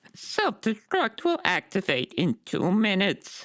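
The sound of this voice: The speaker uses a put-on character voice with a fairly high pitch and a fairly slow pace.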